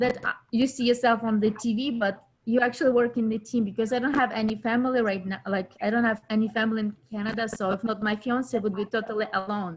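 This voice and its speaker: Speaking at a very fast pace, a woman with a non-native accent has a fairly high pitch and fairly even intonation. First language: not English. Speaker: actor in local film network. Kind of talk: casual chat. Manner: halting.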